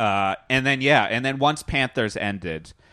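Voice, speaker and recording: Against a quiet background, a man with an American accent speaks at a moderate pace. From Connecticut. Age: 30s. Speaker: musician and comedian. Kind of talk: casual chat. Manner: halting.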